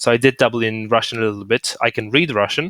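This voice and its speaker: A medium-pitched man with a Polish accent and a bright, sharp tone at a fairly quick pace, on a very clean recording with a silent background and a dry, close sound with no echo. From Poland. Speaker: podcast host. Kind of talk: casual chat.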